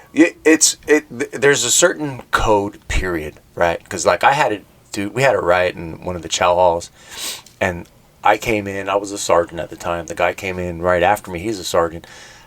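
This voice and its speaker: Amid noticeable background noise, a man with an American accent speaks at a moderate pace in a fairly low voice with lively intonation. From Southern California (Pomona). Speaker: prison guard. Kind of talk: casual podcast conversation. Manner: animated storytelling with frequent fillers.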